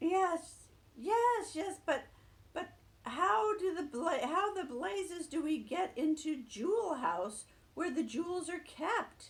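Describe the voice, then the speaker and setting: In a squeaky, put-on character voice, a woman speaks at a fairly slow pace and an extremely high pitch with very wide pitch swings. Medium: read story. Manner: brisk, no-nonsense.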